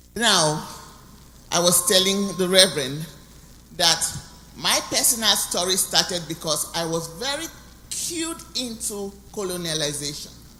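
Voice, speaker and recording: Audible room echo and noticeable background noise surround a woman speaking at a fairly slow pace with long, frequent pauses and ordinary pitch variation. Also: fairly low pitch for a woman. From Cameroon (anglophone). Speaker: guest speaker. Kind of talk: testimony.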